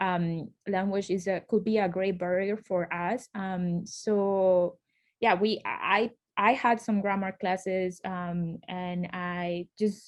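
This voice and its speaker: A woman with a Colombian accent speaks very slowly at a medium pitch, her intonation monotone and flat against a quiet background. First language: Spanish. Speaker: law school alumna, lawyer. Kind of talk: panel interview. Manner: hesitant, many fillers.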